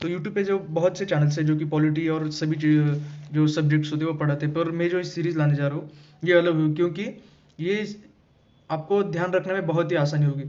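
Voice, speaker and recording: With audible room echo, the speaker talks at a moderate pace with fairly even intonation. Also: man, fairly high pitch for a man. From Maharashtra, India. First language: Marathi (speaking Hindi). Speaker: exam-prep teacher. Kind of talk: lecture. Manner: halting, with fillers.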